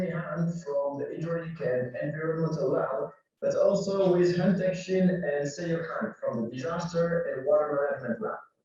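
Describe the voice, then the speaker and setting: A man speaks at a moderate pace with a high pitch. Audible room echo surrounds his voice. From France. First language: French. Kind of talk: conference presentation.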